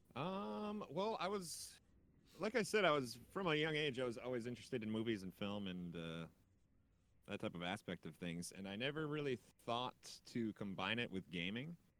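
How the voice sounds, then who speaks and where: A man with a medium pitch speaks at a moderate pace, his pitch swinging very widely. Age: 30s. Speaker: gaming content creator. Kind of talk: casual interview.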